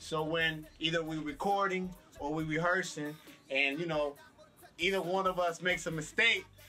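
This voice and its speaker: Music plays behind a man speaking at a moderate pace. His voice is high, with fairly even intonation. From Puerto Rico. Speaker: musician. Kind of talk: interview.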